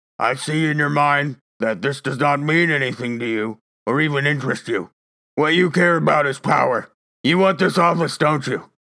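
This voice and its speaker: A man puts on a raspy character voice at a fairly high pitch. He talks at a moderate pace. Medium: read story. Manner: cold, superior, faintly sneering.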